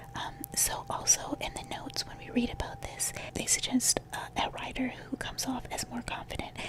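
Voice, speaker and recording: A whispering voice keeps a moderate pace against noticeable background noise. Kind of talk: whispered ASMR talk to camera. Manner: whispered.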